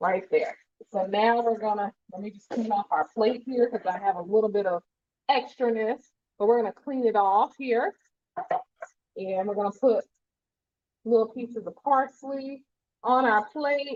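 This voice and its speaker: A woman with an American accent speaks at a moderate pace in a fairly high pitch, with ordinary pitch variation and big swings in loudness. Her long, frequent pauses sit in a dry, close sound with no echo. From New Jersey. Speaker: pharmacist and cooking show host. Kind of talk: live cooking tutorial. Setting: livestream. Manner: animated.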